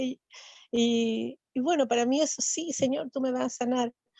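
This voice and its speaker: In a dry, close sound with no echo and a quiet background, a woman with a fairly high pitch and a dark, mellow tone speaks with ordinary pitch variation. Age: 60s. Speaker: church class participant. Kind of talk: testimony. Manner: halting.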